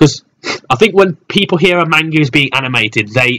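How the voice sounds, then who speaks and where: The recording is dry and close, without any echo. A man speaks very fast. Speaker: anime reviewer. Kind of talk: casual talk to camera.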